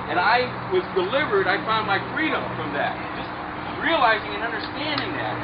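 A man talks at a fairly quick pace over loud background noise. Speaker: preacher, street minister. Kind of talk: sermon to a group outdoors before a baptism. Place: beach. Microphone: camera far.

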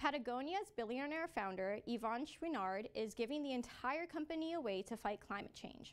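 In a Canadian accent, a woman with a high voice talks at a moderate pace with very wide pitch swings and hardly any pauses. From Canada, Toronto area. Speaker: student news anchor. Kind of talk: news reading and street interview. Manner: friendly, upbeat interviewer. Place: studio.

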